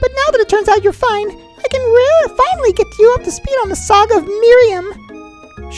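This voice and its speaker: Doing a put-on character voice with clear music in the background, a woman squeaks at an extremely high pitch with hardly any pauses. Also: moderate pace. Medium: game stream. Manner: chatty, dramatic.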